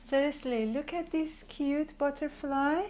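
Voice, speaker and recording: A woman is speaking. She has a Persian accent. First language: Farsi. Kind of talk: product showcase. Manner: animated.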